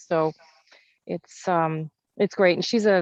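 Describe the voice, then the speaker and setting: Recorded with a dry, close sound with no echo and a quiet background, a woman speaks in a fairly low voice with a slight Canadian accent. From Canada (Kenora, Ontario). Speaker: entrepreneur. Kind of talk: casual interview. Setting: video call.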